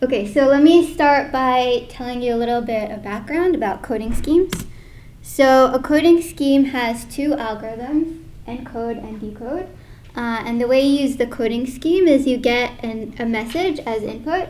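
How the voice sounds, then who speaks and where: A woman talks at a high pitch with ordinary pitch variation. Her loudness swings widely. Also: moderate pace. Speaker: presenter. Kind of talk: lecture. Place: hall.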